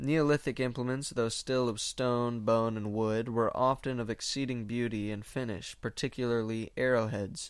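Against a silent background in a very clean recording, a man with an ordinary speaking voice talks at a moderate pace with fairly even intonation. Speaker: podcast host reading old book. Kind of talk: casual podcast intro/outro, then literary audiobook-style reading of an old history text. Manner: casual, filler-heavy, self-deprecating, chatty in own talk; steady, measured, formal reading pace with occasional stumbles over hard words.

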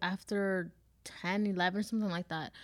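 In a very clean recording with a silent background, a woman has an unremarkable speaking voice at a medium pitch with fairly even intonation. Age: 20s. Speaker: HR worker and podcast co-host. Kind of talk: casual chat.

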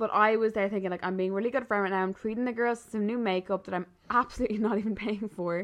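A woman with an Irish accent talks at a very fast pace with hardly any pauses. Her pitch is fairly high and her intonation fairly even. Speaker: podcast host. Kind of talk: casual chat. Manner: fast talker.

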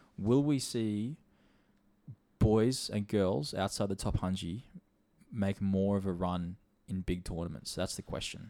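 A man with an Australian accent, fairly low pitch and ordinary pitch variation, on a very clean recording with a silent background. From Australia, Sunshine Coast. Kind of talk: casual chat. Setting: studio.

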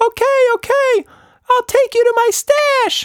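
A squeaky, put-on character voice at an extremely high pitch moves at a very slow pace. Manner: frightened.

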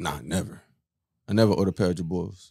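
In a very clean recording with a silent background, a man speaks with a dark, mellow tone and fairly even intonation. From South Florida, US. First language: Haitian Creole. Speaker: podcast co-host. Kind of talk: casual chat, comedic banter.

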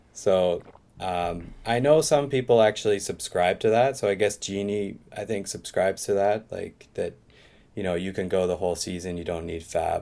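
A man talks at a moderate pace with a Canadian Maritime accent. His tone is dark and mellow. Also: fairly low pitch for a man, ordinary pitch variation. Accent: Canadian, Maritimes. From Eastern Canada, Maritimes. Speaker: English teacher, fantasy football manager. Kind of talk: casual interview chat. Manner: halting, many fillers.

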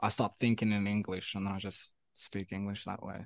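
A man talks fairly quickly, with a quiet background behind him. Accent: South African. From South Africa, Pretoria. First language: Afrikaans. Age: 20s. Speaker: musician. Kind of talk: casual chat. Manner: halting, many fillers and repetitions.

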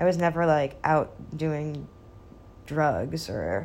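This woman speaks with a very deep, low pitch and vocal fry. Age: 20s. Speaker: podcaster. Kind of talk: casual solo chat.

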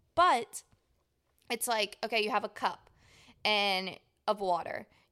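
In a Louisiana accent, a woman with a bright, sharp tone and a fairly high pitch speaks fairly slowly with ordinary pitch variation. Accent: Southern US, Louisiana. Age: 20s. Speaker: podcast co-host. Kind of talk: casual chat between two friends. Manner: animated, jokey.

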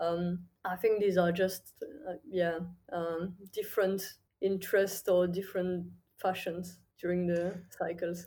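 In a French accent, a woman with a dark, mellow tone and medium pitch speaks at a fairly slow pace with fairly even intonation. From southern France, near Toulouse. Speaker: crypto trading firm co-founder. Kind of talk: interview. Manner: hesitant, many fillers.

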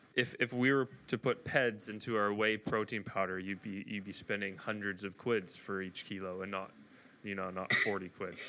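Bright and sharp in tone, a man's fairly low-pitched voice moves at a moderate pace. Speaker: podcast host. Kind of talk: casual interview chat. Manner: excitable.

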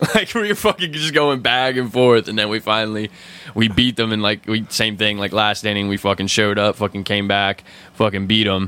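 A man's plain, everyday voice, fairly low in pitch, at a fairly quick pace with fairly even intonation. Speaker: podcast host. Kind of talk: casual chat, profane banter.

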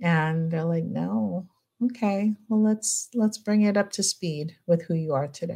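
A woman with an American accent speaks fairly slowly, somewhat breathy and fairly low in pitch, with a dark, mellow tone and lively intonation. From California, US. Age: 40s. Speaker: clinical psychologist. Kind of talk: casual interview.

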